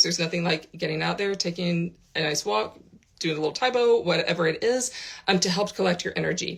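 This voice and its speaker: With an American accent, a woman speaks fairly quickly at a fairly low pitch over noticeable background noise. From United States. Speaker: spiritual teacher. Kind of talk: vlog. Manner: casual, with frequent fillers.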